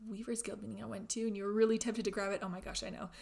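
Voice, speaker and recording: A woman's normal speaking voice, fairly high in pitch, with an American accent. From Germany (Berlin) and Florida, US. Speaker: knitting livestreamer. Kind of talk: casual chat livestream. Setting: live stream. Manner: chatty, with frequent filler words and restarts.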